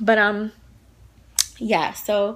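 A woman speaks with a bright, sharp tone. Her pitch sits in the medium range. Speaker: lifestyle vlogger. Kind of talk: casual vlog monologue. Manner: chatty, many fillers like 'like' and 'um'.

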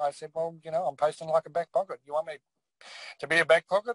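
Speaking very fast with an Australian accent, a man uses a high pitch and big swings in loudness. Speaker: former league admin, guest. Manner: monotone when speaking as admin.

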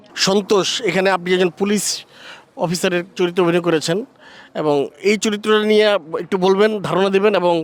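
With noticeable background noise behind him, a man speaks at a high pitch in a monotone, flat intonation at very even loudness. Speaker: entertainment journalist. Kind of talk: interview; reporting to camera. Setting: outdoors, festival rooftop.

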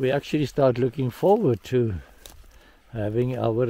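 Dry sound with no echo from a male speaker. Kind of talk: casual vlog chat. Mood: calm, hopeful. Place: farm machine. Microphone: phone near.

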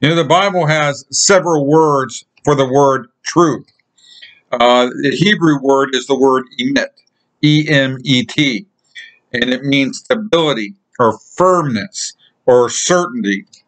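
A man at a very slow pace with ordinary pitch variation and very even loudness, over a quiet background. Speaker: lay preacher. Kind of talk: sermon. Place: home room. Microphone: webcam.

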